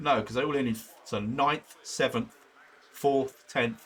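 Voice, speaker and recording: A man with a British accent at a fairly slow pace. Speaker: sim racing streamer. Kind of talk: live stream commentary. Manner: casual, rambling chatter.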